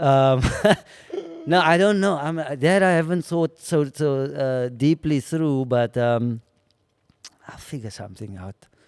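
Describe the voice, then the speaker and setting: With lively intonation, a man talks at a fairly slow pace, leaving long, frequent pauses. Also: fairly high pitch for a man. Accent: South African. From South Africa. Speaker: comedian and actor. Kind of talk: casual chat. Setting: venue.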